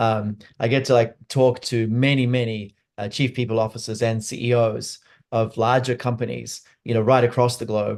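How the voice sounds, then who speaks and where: The speaker has an American accent and talks at a moderate pace. The intonation is monotone and flat. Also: man, medium pitch for a man. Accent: Australian with some American twang. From Australia (Sydney). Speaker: neuroscience leadership expert and company CEO. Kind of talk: webinar interview. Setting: webinar.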